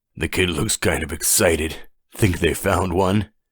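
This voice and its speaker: A put-on, raspy character voice from a man, very deep and low, at a moderate pace with fairly even intonation. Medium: read story. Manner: joking, wry.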